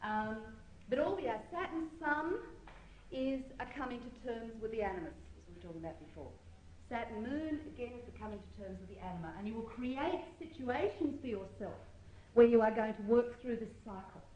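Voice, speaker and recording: In a room with audible echo and noticeable background noise, a woman speaks at a fairly high pitch and a moderate pace, her lively intonation paired with big swings in loudness. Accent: New Zealand. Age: 40s. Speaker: astrology teacher. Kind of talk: lecture. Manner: halting, with many fillers.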